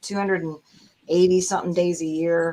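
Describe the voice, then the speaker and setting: A woman talks at a fairly quick pace in a normal speaking voice. Her pitch is fairly low and her intonation fairly even. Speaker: voice actress. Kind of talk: interview.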